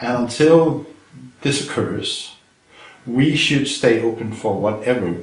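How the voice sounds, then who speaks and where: With a Danish accent, the speaker goes very slowly with long, frequent pauses and ordinary pitch variation, amid noticeable background noise and audible room echo. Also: man. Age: 60s. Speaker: retired chemistry professor. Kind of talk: interview. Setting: filmed interview.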